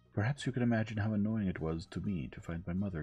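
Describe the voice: Plain reading aloud with ordinary pitch variation is heard here.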